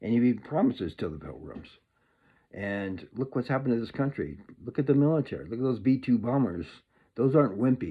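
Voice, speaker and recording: A man with a medium-pitched voice and a touch of vocal fry talks at a fairly quick pace, his intonation lively. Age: 60s. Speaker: political commentator. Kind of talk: casual monologue. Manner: animated.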